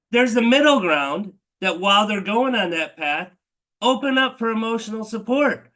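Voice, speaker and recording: Projecting his raised voice at a moderate pace, a man speaks with a bright, sharp tone and ordinary pitch variation. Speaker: telehealth meeting host. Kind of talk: live online Q&A presentation. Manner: casual, filler-heavy.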